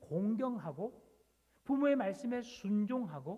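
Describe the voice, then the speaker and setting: A man's voice sits at an extremely high pitch yet carries a dark, mellow tone. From South Jeolla, near Gyeongsang border. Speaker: pastor. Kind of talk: sermon.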